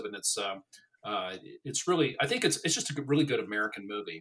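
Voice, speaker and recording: A man with a medium pitch speaks at a very fast pace. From Colorado, US. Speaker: political writer. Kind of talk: casual chat.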